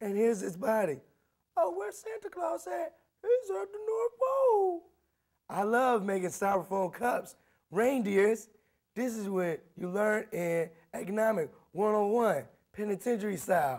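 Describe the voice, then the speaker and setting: With a quiet background, a man speaks at a fairly slow pace, leaving long, frequent pauses. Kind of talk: comedic tutorial. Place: hall.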